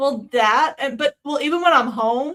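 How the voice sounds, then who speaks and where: A woman with a slight Southern US accent, a bright, sharp tone and a moderate pace. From US South. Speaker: streamer. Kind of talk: casual chat. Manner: halting.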